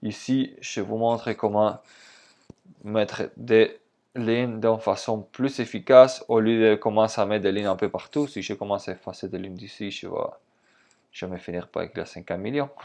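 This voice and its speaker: A man at a medium pitch and moderate pace, with fairly even intonation, big swings in loudness, long and frequent pauses, and a quiet background. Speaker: trading instructor. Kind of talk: tutorial.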